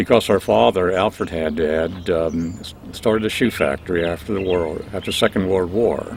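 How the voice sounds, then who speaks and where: A man with an American accent and a very deep, low pitch, at a moderate pace, amid noticeable background noise. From Pennsylvania, Berks County. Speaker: longtime resident interviewee. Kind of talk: oral history interview.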